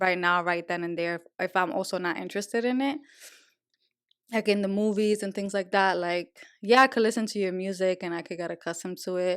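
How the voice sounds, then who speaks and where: In a very clean recording with a silent background, a woman with a Spanish accent speaks at a very fast pace in a medium pitch, animated in tone, with ordinary pitch variation. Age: adult. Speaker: podcast co-host. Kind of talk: casual chat.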